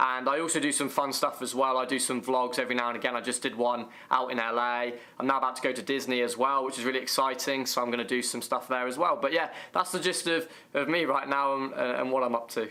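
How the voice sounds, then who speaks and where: Noticeable background noise accompanies a man speaking with an English accent. He goes at a very fast pace with fairly even intonation. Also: medium pitch for a man. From England. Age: 20s. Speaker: YouTuber. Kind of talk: casual interview.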